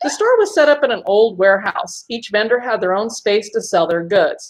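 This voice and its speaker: Speaking at a fairly quick pace, a woman has an ordinary speaking voice, fairly high in pitch. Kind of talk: first-person ghost story narration.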